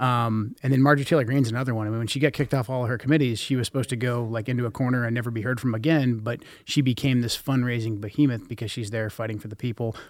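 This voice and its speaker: On a very clean recording with a silent background, a man with an American accent talks at a very fast pace, with hardly any pauses and fairly even intonation. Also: medium pitch for a man. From US Pacific Northwest (Portland area). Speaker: war veteran and congressional candidate. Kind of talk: political interview. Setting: studio.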